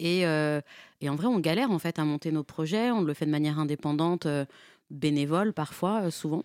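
A woman's very deep, low voice at a fairly quick pace, with ordinary pitch variation, on a very clean recording with a silent background. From Nanterre, Paris suburbs. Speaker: freelance journalist. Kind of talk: radio interview.

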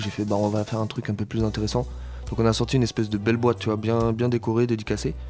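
A man speaks at medium pitch and a very fast pace. His tone is dark and mellow. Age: 20s. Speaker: reggae artist. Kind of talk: radio interview. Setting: studio.

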